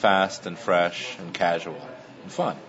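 Noticeable background noise runs under the recording. Over it, a man speaks with a very deep, low pitch. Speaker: restaurant owner. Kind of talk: casual interview. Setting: restaurant.

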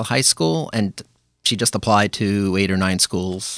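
Recorded very cleanly with a silent background and a dry, close sound with no echo, a man with a New York accent speaks at a fairly low pitch with fairly even intonation. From Brooklyn, New York (Flatbush). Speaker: amateur runner and running group organizer. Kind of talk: casual interview.

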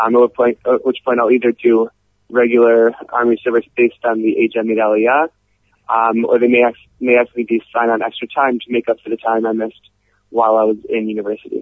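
A man in an American accent, medium in pitch and fairly quick, with monotone, flat intonation. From US, Cleveland, Ohio. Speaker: university student. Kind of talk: radio interview.

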